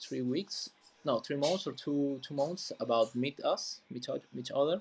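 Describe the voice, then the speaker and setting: A man with a fairly high pitch speaks in a Peruvian accent. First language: Spanish. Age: 20s. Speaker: community manager. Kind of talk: casual chat. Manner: halting.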